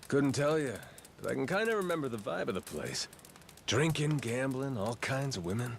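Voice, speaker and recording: A man at medium pitch puts on a gruff character voice with very wide pitch swings. He talks at a moderate pace against clear background noise. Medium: video game. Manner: gruff, casual, swearing.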